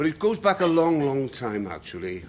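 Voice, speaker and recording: This man speaks in a South Welsh accent at a moderate pace. His pitch swings very widely. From Wales, Bridgend. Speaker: public speaker. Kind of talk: talk to an audience. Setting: room with live audience, no microphone. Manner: loud.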